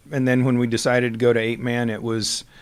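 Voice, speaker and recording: On a very clean recording with a silent background, a man speaks with a Midwestern US accent. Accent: rural Midwestern American. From US Midwest, southwest Iowa. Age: 60s. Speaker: retiring high school football coach. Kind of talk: interview. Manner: halting, many fillers.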